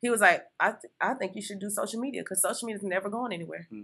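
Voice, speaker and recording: Full of vocal fry, a woman talks at a very fast pace and a medium pitch. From Miami, Florida. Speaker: entrepreneur and social media consultant. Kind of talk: interview.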